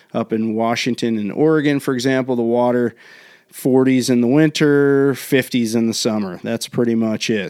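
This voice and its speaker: A man with an American accent speaks at a moderate pace in a plain, everyday voice, his pitch medium with ordinary variation. The recording is very clean with a silent background. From US Northeast, Maryland. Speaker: bodyboarding video host. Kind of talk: tutorial. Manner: casual, with fillers.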